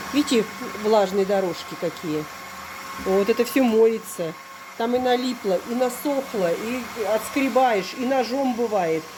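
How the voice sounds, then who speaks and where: Over noticeable background noise, a woman with a fairly high pitch speaks at a fairly slow pace, using ordinary pitch variation and long, frequent pauses. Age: 50s. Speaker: village lifestyle vlogger. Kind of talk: product demonstration vlog. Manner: animated.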